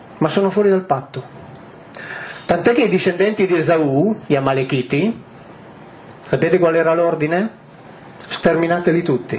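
Light background noise sits behind a man who speaks at a moderate pace with long, frequent pauses. His voice is high-pitched, and its loudness stays very even. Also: ordinary pitch variation. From northwest Italy near the French border. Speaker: author and public lecturer on ancient texts. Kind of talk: lecture to a live audience. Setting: hall with a large live audience. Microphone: headset.

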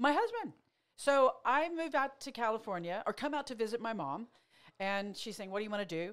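Speaking fairly quickly against a quiet background, a woman with an American accent uses a fairly high voice with very wide pitch swings. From Oklahoma. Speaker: motivational speaker and therapist; motivational speaker. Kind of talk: casual chat. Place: studio. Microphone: studio mic.

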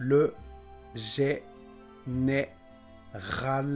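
A man is speaking while faint music plays in the background. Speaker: French pronunciation teacher. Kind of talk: slow, clear pronunciation demonstration. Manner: slow, clear.

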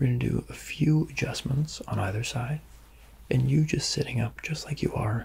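The man's speech holds a moderate pace. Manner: soft, gentle ASMR speaking voice. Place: home room. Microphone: phone near.

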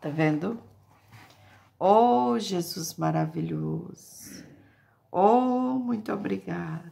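Speech moves at a very slow pace, broken by long, frequent pauses. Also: woman. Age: 60s. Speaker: evangelical YouTuber. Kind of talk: casual vlog with religious exhortation. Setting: at home. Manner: animated. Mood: joyful, grateful. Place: home room. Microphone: phone near.

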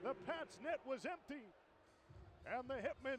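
Extremely high male voice, excited in tone, with noticeable background noise. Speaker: hockey play-by-play announcer. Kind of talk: live play-by-play commentary over game highlights. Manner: rapid-fire, clipped play-by-play delivery; excited, rising-pitch calls on goals.

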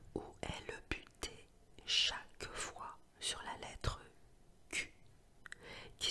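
Whispering in a calm tone, a woman speaks at a very slow pace. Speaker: sophrology and hypnosis practitioner who reads ASMR tales. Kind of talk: storytelling narration with playful asides to the listener. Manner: whispered, soft, calm, relaxing.

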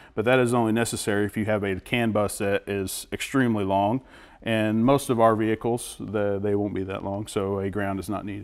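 A man's fairly low, monotone, flat voice at a fairly quick pace over a quiet background. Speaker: guest. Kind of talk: interview answer. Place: garage. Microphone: lapel.

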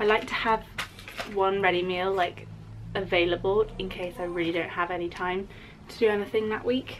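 Noticeable background noise sits behind a woman's voice. Her intonation is fairly even. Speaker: vlogger. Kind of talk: casual vlog chat. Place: home room. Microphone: phone near.

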